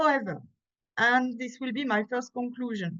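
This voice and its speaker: A woman with a French accent and a fairly high pitch. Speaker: conference presenter, theatre scholar. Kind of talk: academic conference talk. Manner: halting, with self-corrections.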